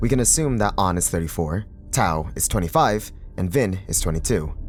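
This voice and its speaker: Music plays in the background as a man with a fairly low pitch talks with lively intonation. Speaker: voice actor. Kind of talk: video essay narration.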